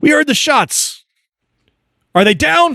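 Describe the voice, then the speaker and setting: The speaker puts on a gruff character voice. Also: man. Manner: curt, urgent, demanding.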